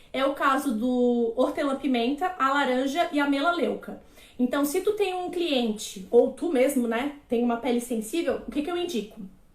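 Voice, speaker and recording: Audible room echo surrounds a woman speaking at a moderate pace. Her high-pitched voice has lively intonation. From Florianópolis, Brazil. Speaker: aromatherapist / naturologist. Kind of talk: live-stream lecture. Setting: live stream.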